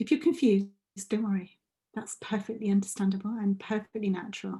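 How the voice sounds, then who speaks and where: A woman talks at a very fast pace with a fairly high pitch and ordinary pitch variation. Her tone is dark and mellow, and somewhat breathy. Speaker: coach leading a group training session. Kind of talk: group video call session, guided reflection and chat.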